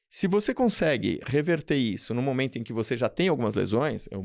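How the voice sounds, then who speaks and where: Lively intonation and vocal fry mark a man's speech at a moderate pace, captured in a dry, close sound with no echo on a very clean recording with a silent background. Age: 60s. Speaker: radiologist. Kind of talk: interview.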